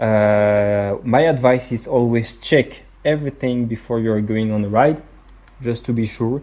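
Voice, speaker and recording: A man speaks with a French accent at a medium pitch. His pace is fairly slow and his intonation fairly even. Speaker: product reviewer. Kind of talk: product review. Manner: halting, many fillers and repetitions.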